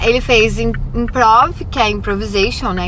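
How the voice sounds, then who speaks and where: Backed by music and audible room echo, a woman speaks at a moderate pace. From Brazil. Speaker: vlogger and acting student. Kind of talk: casual vlog. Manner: casual, hesitant with false starts.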